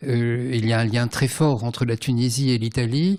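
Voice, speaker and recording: Medium pitch from a man, with ordinary pitch variation. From Tunisia, then France from about age 10. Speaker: writer and translator. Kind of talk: literary conversation. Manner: hesitant, many fillers.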